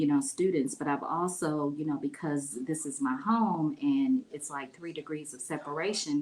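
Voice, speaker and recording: A woman's very deep, low voice with a Midwestern US accent, ordinary pitch variation, big swings in loudness, a moderate pace and hardly any pauses. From Ohio, Lima. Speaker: mayoral candidate. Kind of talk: interview. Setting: livestream.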